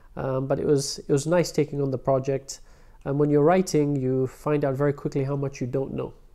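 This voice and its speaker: Against a quiet background, a man speaks at a fairly quick pace with a fairly high pitch. His dark, mellow tone holds a monotone, flat intonation. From London, England. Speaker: prosthodontist; interviewee. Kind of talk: interview. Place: office.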